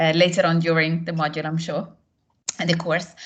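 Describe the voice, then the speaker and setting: The voice carries an Italian accent. It sounds somewhat breathy. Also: woman. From northern Italy, near Milan. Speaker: course tutor. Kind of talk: casual chat.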